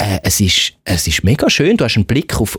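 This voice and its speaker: A man at medium pitch speaks at a moderate pace, somewhat breathy, with very wide pitch swings. The sound is dry and close, with no echo. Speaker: radio producer and podcast co-host. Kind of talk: casual chat.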